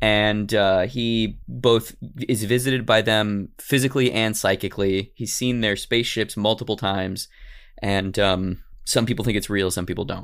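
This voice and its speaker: At a moderate pace, a man talks with a fairly low pitch. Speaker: podcast host. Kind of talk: casual comedic podcast chat. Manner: animated.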